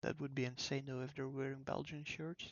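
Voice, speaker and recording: A soft-spoken man with a calm tone. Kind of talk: casual talk to camera, gaming commentary. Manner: soft-spoken, calm.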